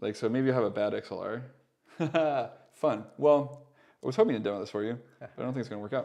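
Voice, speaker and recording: Mumbling at a very fast pace, a man with a medium pitch and a dark, mellow tone swings widely in loudness and leaves long, frequent pauses. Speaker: audio production mentor. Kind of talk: tutorial. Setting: live stream. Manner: mumbly; casual, hesitant with fillers.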